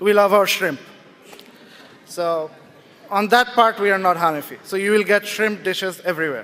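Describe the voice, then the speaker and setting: Loud and high-pitched, a man talks at a fairly quick pace with ordinary pitch variation. Noticeable background noise runs underneath. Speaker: writer and speaker. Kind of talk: public talk. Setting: stage with audience.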